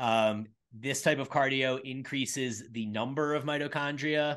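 A man speaks in a plain, everyday voice at a medium pitch and fairly slow pace, with ordinary pitch variation. The background is quiet. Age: 40s. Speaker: fitness coach and gym owner. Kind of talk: casual chat. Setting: video podcast recording.

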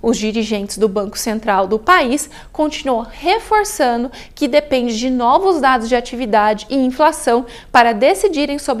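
Speaking with a Brazilian accent, a woman uses a high pitch and lively intonation at a moderate pace. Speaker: investment strategist presenter. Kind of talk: formal newsreading of market briefing. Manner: formal; even, measured, steady delivery.

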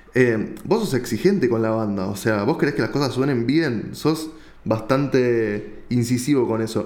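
A man speaks fairly slowly at a medium pitch with ordinary pitch variation. The room echo is audible. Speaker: podcast host. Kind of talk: interview.

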